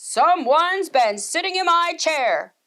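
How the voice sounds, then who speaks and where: Bellowing in a gruff put-on character voice, a woman uses an extremely high pitch and lively intonation at a fairly slow pace. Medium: read story. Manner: roaring, gruff.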